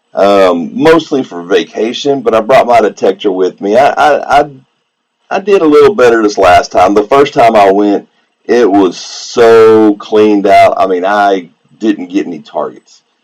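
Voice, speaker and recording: With a Southeast Texas accent, a man talks at a fairly slow pace. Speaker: coin collector and metal detectorist streamer. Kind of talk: casual live-stream chat. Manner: relaxed, casual.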